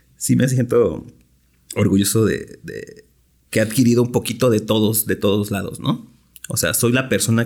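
This man has an ordinary speaking voice at medium pitch, with fairly even intonation and a moderate pace. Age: 30s. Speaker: craft beer brewer. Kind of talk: casual chat.

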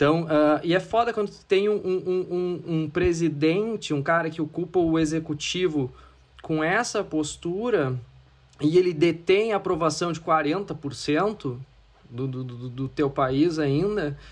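A man talks very slowly in a fairly high pitch, his pitch varying in an ordinary way. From Brazil, interior of Rio Grande do Sul. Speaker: advertising executive. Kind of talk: casual interview.

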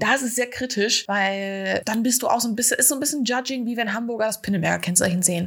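Noticeable background noise runs through the clip. A woman talks with ordinary pitch variation. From Germany, Ostwestfalen-Lippe. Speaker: podcast host, photography student. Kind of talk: casual chat.

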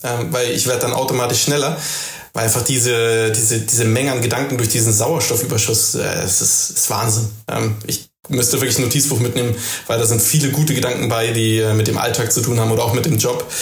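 Speaking at a fairly quick pace with a medium pitch, a man keeps very even loudness and fairly even intonation, with audible room echo and noticeable background noise. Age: 40s. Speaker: office worker and returning runner. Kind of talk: casual chat. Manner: hesitant, many filler sounds.

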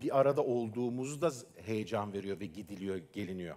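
A man is speaking. His pace is moderate. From Istanbul, Turkey. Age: 40s. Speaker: filmmaker. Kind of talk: talk. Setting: stage with audience.

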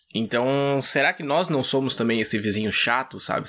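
On a very clean recording with a silent background, a man with a bright, sharp tone talks at a fairly quick pace with fairly even intonation. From Brazil, Vinhedo, São Paulo state. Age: 30s. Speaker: podcast guest. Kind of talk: casual chat.

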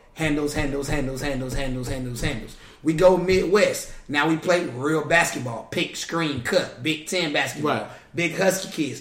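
Over noticeable background noise and audible room echo, a man with an American accent talks at a moderate pace and fairly high pitch with ordinary pitch variation. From North Carolina, Raleigh. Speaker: basketball coach. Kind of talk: casual chat.

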